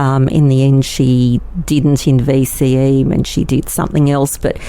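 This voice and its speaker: Over noticeable background noise, a woman with an Australian accent speaks fairly slowly in a very deep, low, monotone voice with very even loudness. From Australia, Melbourne. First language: Yiddish. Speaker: lawyer. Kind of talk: interview. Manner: hesitant, many fillers.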